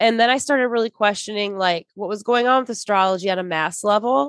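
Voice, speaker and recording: Speaking at a fairly quick pace with an American accent, a woman uses an ordinary speaking voice of medium pitch and ordinary pitch variation, captured dry and close with no echo. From Michigan. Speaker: podcast host. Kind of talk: casual chat.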